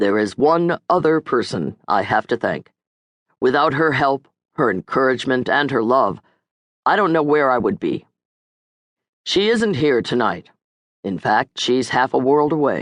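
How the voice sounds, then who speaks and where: Putting on a character voice, a husky-sounding man at medium pitch uses lively intonation and very even loudness, moving at a moderate pace with long, frequent pauses. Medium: read story.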